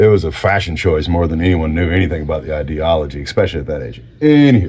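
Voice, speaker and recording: A man speaks at a very fast pace with a very deep, low pitch and vocal fry. His pitch varies in an ordinary way, and the room echo is audible. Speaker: vlogger. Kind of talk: casual chat. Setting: home garage workshop. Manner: halting.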